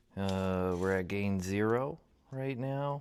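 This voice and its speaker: A soft-spoken man with a very deep, low pitch. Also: very clean recording, silent background. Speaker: woodturner testing a wireless mic. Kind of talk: casual workshop talk. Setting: workshop at a lathe.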